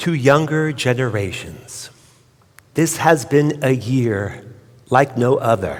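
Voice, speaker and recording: A man with an American accent speaks at a very slow pace and a medium pitch, with ordinary pitch variation, long and frequent pauses, and audible room echo. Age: 60s. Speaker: rabbi. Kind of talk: sermon.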